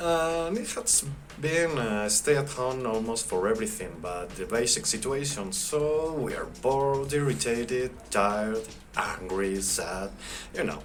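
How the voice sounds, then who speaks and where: In a Spanish accent, the speaker moves at a fairly slow pace with very wide pitch swings, amid audible room echo and music in the background. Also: man. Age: 40s. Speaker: software engineer, interviewee. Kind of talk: mock interview (class project).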